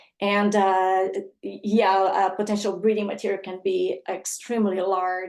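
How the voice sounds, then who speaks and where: A woman talks at medium pitch and a moderate pace. Her intonation is monotone and flat. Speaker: conservation dog program presenter. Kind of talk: webinar presentation. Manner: halting.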